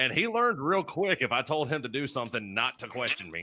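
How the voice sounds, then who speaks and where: Very fast and fairly high-pitched, a man speaks with a bright, sharp tone, vocal fry and very wide pitch swings. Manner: intimidating, commanding.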